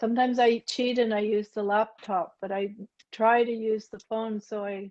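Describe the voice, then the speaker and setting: A woman with a Canadian accent, an ordinary speaking voice, fairly high pitch and fairly even intonation. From Ottawa, Canada. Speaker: language learner. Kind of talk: workshop talk. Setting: video call.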